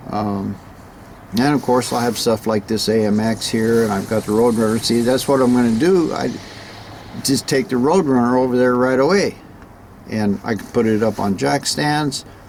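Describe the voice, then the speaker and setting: Medium-pitched male voice over noticeable background noise. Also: ordinary pitch variation, moderate pace. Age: 70s. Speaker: classic car restorer and vlogger. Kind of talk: casual vlog talk. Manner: halting, many fillers and repeats.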